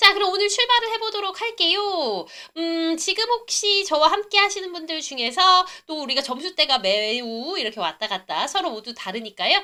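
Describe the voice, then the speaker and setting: A raised, projected voice with a bright, sharp tone and animated delivery moves at a moderate pace with hardly any pauses. The pitch swings very widely. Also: woman, extremely high pitch for a woman. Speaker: English test-prep instructor. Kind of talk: live online lecture. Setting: livestream. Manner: animated, chatty.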